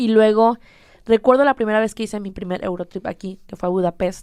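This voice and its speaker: Fairly quick in pace, a woman speaks with a fairly high pitch and a dark, mellow tone. The sound is dry and close, with no echo. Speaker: social media influencer. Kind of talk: casual chat.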